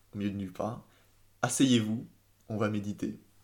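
Fairly low in pitch, a man's dark, mellow voice keeps a fairly even intonation. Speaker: engineer. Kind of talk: casual chat. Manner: hesitant, repeats words.

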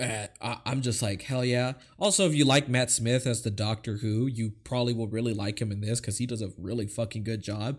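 In a plain, everyday voice, a man talks at a medium pitch and fairly quick pace with hardly any pauses. His intonation is fairly even, and the very clean recording has a silent background. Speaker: podcast host. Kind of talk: casual chat. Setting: live stream.

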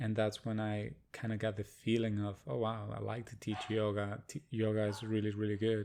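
A man speaks with hardly any pauses, in a fairly low pitch and a dark, mellow tone. His intonation stays monotone and flat. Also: moderate pace. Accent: Spanish. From Argentina, Buenos Aires. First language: Spanish. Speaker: yoga teacher. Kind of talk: casual interview chat.

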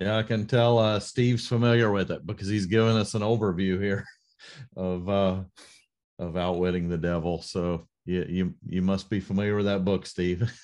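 A man with a plain, everyday voice, fairly low in pitch, at a moderate pace and with fairly even intonation, over a quiet background. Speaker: leadership podcast host. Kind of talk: interview conversation. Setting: online group meeting.

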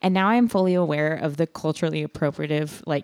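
Recorded very cleanly with a silent background and a dry, close sound with no echo, a woman with an American accent talks at a fairly quick pace. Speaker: podcast co-host. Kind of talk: casual chat and true crime storytelling. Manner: animated.

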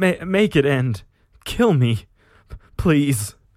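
A man puts on a character voice, fairly high-pitched, speaking very slowly with a slightly mellow tone and big pitch swings, on a very clean recording with a silent background.

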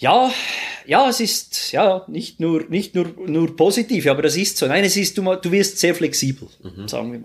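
Here a man speaks at a moderate pace. His pitch is high, and his intonation is lively. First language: Swiss German (speaking German). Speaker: airline pilot. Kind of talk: casual interview. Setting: studio, face to face.

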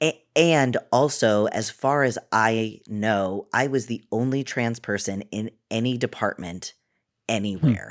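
A man with an American accent and a normal speaking voice, medium in pitch, fairly slow, with ordinary pitch variation, in a very clean recording with a silent background and a dry, close sound with no echo. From Massachusetts, Cape Cod. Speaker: actor and producer. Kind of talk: interview.

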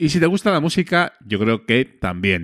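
Speaking at a fairly slow pace with a Spanish accent, a man is captured in a dry, close sound with no echo on a very clean recording with a silent background. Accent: Peninsular Spanish. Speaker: podcast host. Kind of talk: casual chat. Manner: animated.

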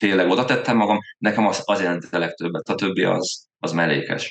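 A man talks at a moderate pace in a plain, everyday voice. His intonation is fairly even. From Hungary, Veszprém. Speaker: amateur triathlete, podcast co-host. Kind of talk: casual chat.

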